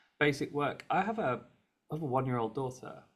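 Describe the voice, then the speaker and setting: Here a man speaks with a British accent. His pace is fairly quick, with ordinary pitch variation. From Britain. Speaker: advocacy organization head. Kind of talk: panel discussion.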